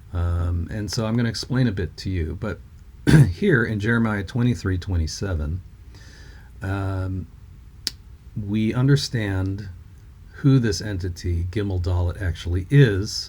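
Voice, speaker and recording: A man's fairly low voice with ordinary pitch variation and long, frequent pauses. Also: fairly slow pace. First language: non-English language with grammar like Hebrew. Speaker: bible code researcher, video creator. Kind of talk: religious teaching video. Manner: halting, many fillers.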